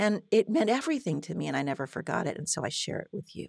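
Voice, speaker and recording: A woman speaks at a very fast pace and fairly low pitch, with very wide pitch swings and vocal fry. The sound is dry and close, with no echo. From France. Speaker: therapist. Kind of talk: interview.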